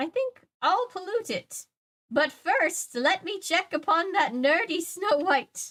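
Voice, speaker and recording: Putting on a cackling character voice, a woman speaks at a fairly slow pace with an extremely high pitch. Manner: mocking, villainous.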